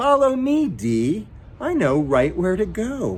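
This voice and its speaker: A man's put-on character voice, high-pitched and fairly slow, over clear background noise. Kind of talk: bedtime story. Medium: read story.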